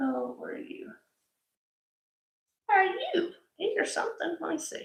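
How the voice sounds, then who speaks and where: A mumbling woman with an extremely high voice, very wide pitch swings, big swings in loudness, and a moderate pace. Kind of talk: live-stream sales chat.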